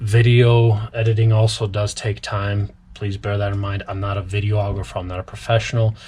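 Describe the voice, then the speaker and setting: Somewhat breathy and dark, mellow in tone, a man's fairly low voice runs at a moderate pace with hardly any pauses and monotone, flat intonation. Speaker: cobbler. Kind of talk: tutorial. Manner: talkative, casual.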